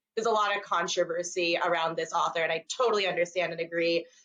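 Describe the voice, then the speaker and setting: A woman talks with fairly even intonation. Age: 20s. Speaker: author and former teacher. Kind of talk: casual interview chat. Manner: fast.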